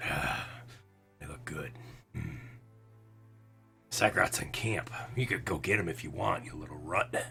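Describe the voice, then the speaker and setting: Raspy, very deep, low put-on character voice from a man, with very wide pitch swings, long and frequent pauses, and clear music in the background. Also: moderate pace. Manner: taunting, sneering.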